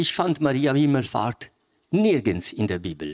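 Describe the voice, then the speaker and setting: A man talks at a fairly high pitch. His pitch swings very widely. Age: 60s. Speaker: lay preacher. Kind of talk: sermon. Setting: church. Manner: animated.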